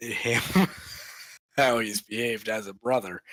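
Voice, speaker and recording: With a bright, sharp tone, a man speaks using ordinary pitch variation. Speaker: game community staff lead. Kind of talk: casual chat. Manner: halting, many fillers.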